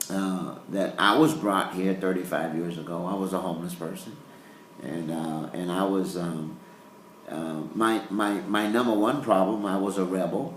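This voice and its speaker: A man speaks at a moderate pace in a very deep, low voice with ordinary pitch variation, over noticeable background noise and audible room echo. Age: 60s. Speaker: pastor. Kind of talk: interview. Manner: halting.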